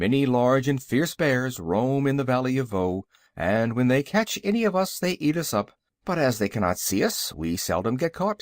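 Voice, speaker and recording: Putting on a gruff character voice, a man speaks at a medium pitch and moderate pace with very wide pitch swings, in a dry, close sound with no echo on a very clean recording with a silent background. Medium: read story. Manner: stern, blunt.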